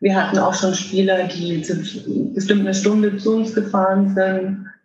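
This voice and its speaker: A woman's somewhat breathy voice at a medium pitch and moderate pace, with audible room echo. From Germany, Würzburg (Lower Franconia). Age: 30s. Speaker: electric wheelchair hockey player. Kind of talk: interview.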